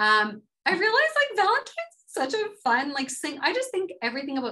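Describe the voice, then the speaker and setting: This woman's voice is raised and projected, with a bright, sharp tone. She talks at a fairly quick pace, and her pitch swings very widely. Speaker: podcast co-host. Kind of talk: casual chat. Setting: studio.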